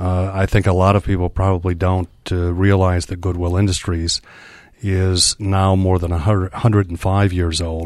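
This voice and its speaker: A man with a very deep, low voice and a Michigan accent speaks in a monotone with flat intonation. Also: moderate pace. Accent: Upper Midwest (Michigan) American. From Muskegon, Michigan. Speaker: nonprofit executive. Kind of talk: interview.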